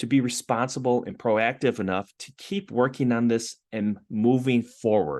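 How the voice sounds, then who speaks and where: Over a quiet background, a man with an ordinary speaking voice talks at a moderate pace and medium pitch. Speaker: entrepreneur in residence, business mentor. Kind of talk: online info session presentation.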